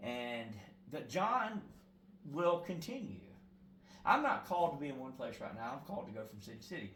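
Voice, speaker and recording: Moving at a fairly quick pace, a man's voice swings very widely in pitch, broken by long, frequent pauses. Audible room echo surrounds it. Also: fairly high pitch for a man, big swings in loudness. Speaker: prison ministry evangelist. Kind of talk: interview. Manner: loud; halting.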